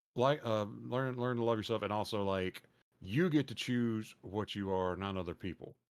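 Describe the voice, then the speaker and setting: A man speaks in a Texas accent at a moderate pace, his pitch fairly low with ordinary variation. The recording is very clean, with a silent background. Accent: Southern accent, more Texas than Louisiana. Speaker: podcast host and streamer. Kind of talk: casual chat. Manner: animated.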